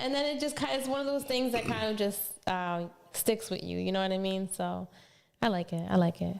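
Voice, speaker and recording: Talking at a fairly quick pace with an American accent, a woman of medium pitch makes very wide pitch swings. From Philadelphia. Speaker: podcast co-host. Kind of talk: casual podcast talk.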